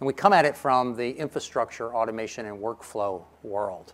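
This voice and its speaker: A man's medium-pitched voice, energetic in tone, with ordinary pitch variation. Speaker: conference presenter pitching a product. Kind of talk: conference presentation. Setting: stage. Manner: energetic, engages audience with questions. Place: stage.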